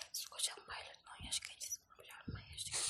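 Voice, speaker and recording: A woman whispers over noticeable background noise. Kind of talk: ASMR book reading. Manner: whispered, fast, partly unintelligible.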